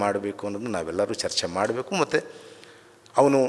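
A man speaks with fairly even intonation. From Karnataka, semi-urban workers' colony. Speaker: writer and scholar. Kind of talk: memorial speech. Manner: halting.

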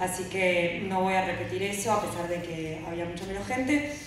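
Strong room echo surrounds a woman talking at a moderate pace. Noticeable background noise is also present. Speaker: speaker. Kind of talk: conference talk. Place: stage.

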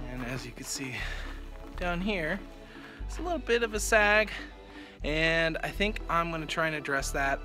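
A male voice moves at a moderate pace while clear music plays in the background. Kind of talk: casual vlog chat. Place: open country.

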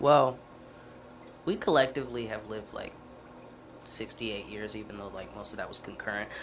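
A fairly low male voice at a moderate pace, with ordinary pitch variation, big swings in loudness, long, frequent pauses and light background noise. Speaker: podcast co-host. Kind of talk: casual chat. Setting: studio. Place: studio. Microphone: studio mic.

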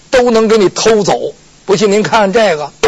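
A man is speaking. His pace is fairly slow. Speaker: pingshu storyteller. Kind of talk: pingshu storytelling performance of a legal case. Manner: lively, colloquial, humorous storytelling.

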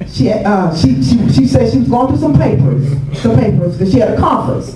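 Audible room echo surrounds a woman's voice, along with noticeable background noise. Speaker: guest pastor. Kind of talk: sermon.

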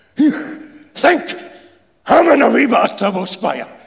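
The speaker is a man. His voice is a put-on character voice. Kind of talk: dramatic reading. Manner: speaking in a rage.

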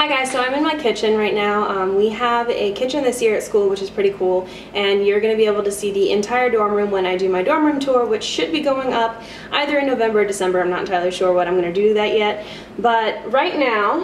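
A woman talks at a very fast pace with ordinary pitch variation. The room echo is audible, and there is light background noise. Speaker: student vlogger. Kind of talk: casual vlog chat, product review. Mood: cheerful, playful. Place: kitchen. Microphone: camera far.

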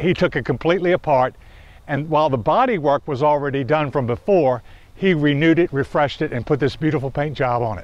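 The voice runs at a very fast pace with ordinary pitch variation, in a dry sound with no echo. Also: man. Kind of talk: show-and-tell explanation to camera. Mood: proud, friendly. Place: open country.

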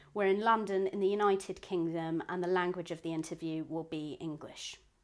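Her voice is a plain, everyday voice, fairly low in pitch for a woman. She talks at a fairly quick pace with fairly even intonation. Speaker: interviewer. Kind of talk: formal interview introduction.

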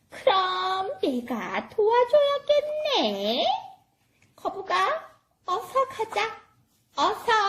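An extremely high-pitched, cartoonish character voice speaks at a very slow pace. Long pauses come often. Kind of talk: children's church puppet show. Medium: puppet.

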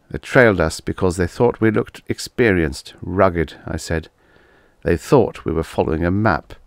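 The speech moves at a moderate pace with ordinary pitch variation. The recording is very clean, the background silent. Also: man. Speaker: audiobook narrator. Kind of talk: dramatic audiobook narration of a first-person story with character voices. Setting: solo home recording, no music.

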